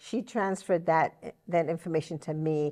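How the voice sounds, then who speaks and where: Against a quiet background, a woman with a New York accent talks at a fairly slow pace, the sound dry and close with no echo. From New York City, Brooklyn (Puerto Rican family). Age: 70s. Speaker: interview guest. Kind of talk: interview.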